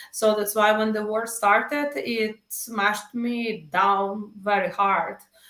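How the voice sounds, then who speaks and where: Speaking at a very slow pace with hardly any pauses, a woman with a Ukrainian accent keeps her intonation fairly even. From Ukraine. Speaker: musician. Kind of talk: interview.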